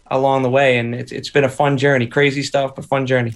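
With a Boston accent, a man talks at medium pitch in a monotone, flat intonation. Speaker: musician and teacher. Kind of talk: casual interview chat. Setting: video call.

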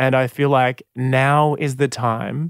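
On a very clean recording with a silent background and a dry, close sound with no echo, a man speaks at a fairly high pitch with an Australian accent. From Sydney northern beaches, Australia. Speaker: singer and musician. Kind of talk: interview.

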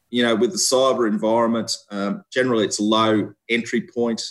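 A man with an Australian accent, medium-pitched, talking at a fairly quick pace with ordinary pitch variation. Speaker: police officer. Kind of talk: interview. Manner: halting.

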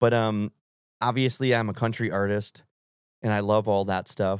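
A man with an American accent and an unremarkable speaking voice, medium in pitch, fairly even in intonation and fairly quick in pace, against a quiet background. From Wisconsin. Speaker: country singer-songwriter. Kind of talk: casual chat. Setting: studio.

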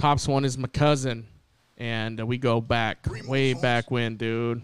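A man with an American accent uses a normal speaking voice at a medium pitch and moderate pace, captured in a very clean recording with a silent background. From Southern California (Ontario, CA). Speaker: podcast host. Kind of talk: casual chat. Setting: live stream.

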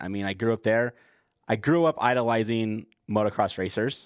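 Very clean recording of a man with a normal speaking voice at medium pitch, a fairly quick pace, and a silent background. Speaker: podcast host. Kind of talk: casual chat.

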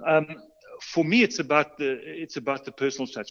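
A man speaks with a South African accent. His pace is fairly quick. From South Africa, Port Elizabeth and Johannesburg. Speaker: custom bicycle builder and shop owner. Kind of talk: interview. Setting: remote call.

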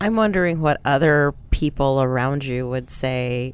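This woman's pitch is very deep and low, with ordinary variation. She speaks at a fairly slow pace with an American accent. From San Antonio, Texas. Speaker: nonprofit association director. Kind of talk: interview.

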